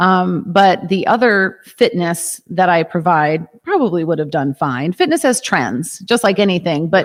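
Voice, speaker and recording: A woman with an American accent speaks fairly slowly at a fairly low pitch, her intonation lively. The recording is very clean, with a silent background. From US Midwest, Chicago suburbs. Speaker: yoga and fitness studio owner. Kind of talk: casual interview.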